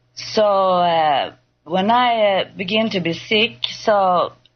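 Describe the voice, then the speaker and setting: A woman speaks with ordinary pitch variation. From Sweden. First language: Swedish. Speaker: patient guest. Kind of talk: testimony. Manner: halting.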